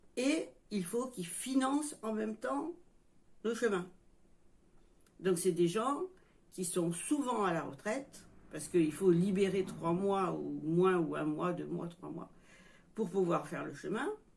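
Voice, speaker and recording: With long, frequent pauses, a woman speaks at a very slow pace in a medium-pitched voice that has vocal fry and lively intonation. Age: 60s. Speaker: YouTuber, retiree. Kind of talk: casual vlog monologue. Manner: halting.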